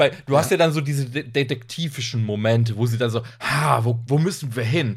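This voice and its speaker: A man uses a normal speaking voice, moving at a fairly quick pace, his pitch varying in an ordinary way. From northern Germany. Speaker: trash film podcaster. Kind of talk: casual chat.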